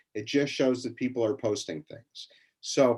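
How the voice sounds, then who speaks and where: A normal speaking voice delivers the words at a moderate pace with ordinary pitch variation. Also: man. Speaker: education company academic lead. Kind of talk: webinar tutorial.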